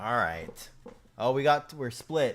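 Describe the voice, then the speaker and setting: Lively intonation from a man at medium pitch and a fairly slow pace, with music in the background. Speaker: gaming streamer. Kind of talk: live stream chat. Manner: casual, rambling.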